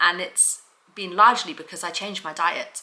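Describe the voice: A woman's fairly low-pitched voice, bright and sharp in tone, at a moderate pace with audible room echo.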